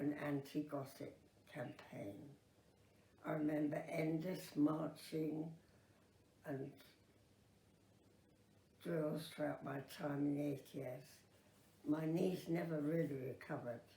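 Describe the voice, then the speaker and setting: A woman speaks at a very slow pace with long, frequent pauses. Her very deep, low voice is somewhat breathy, with a dark, mellow tone. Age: 80s+. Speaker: Second World War veteran. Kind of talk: oral history memoir.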